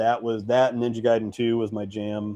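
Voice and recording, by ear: A man's fairly low voice with a dark, mellow tone, fairly even intonation and a fairly slow pace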